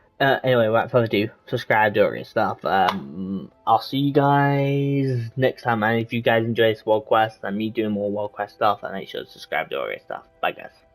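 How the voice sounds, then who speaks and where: With music in the background, a man at medium pitch speaks with hardly any pauses, ordinary pitch variation and big swings in loudness. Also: moderate pace. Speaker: gaming youtuber. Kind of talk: gameplay commentary. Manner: rambling casual, halting.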